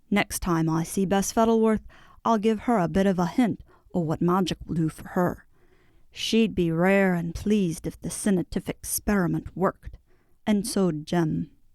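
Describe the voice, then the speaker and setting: In a very clean recording with a silent background, a woman uses a gruff, put-on character voice at medium pitch, with ordinary pitch variation and a moderate pace. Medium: read story. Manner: dry, gruff.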